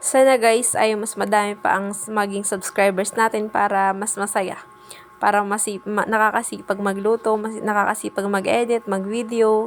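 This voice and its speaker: Through noticeable background noise, a woman talks at a moderate pace with monotone, flat intonation. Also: medium pitch for a woman. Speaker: cooking vlogger. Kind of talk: cooking tutorial vlog. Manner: shy, hesitant.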